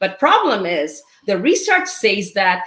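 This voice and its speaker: A woman speaks with a Bengali accent. Her pitch swings very widely. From Bangladesh. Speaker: university teacher and community advocate. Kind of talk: webinar speech.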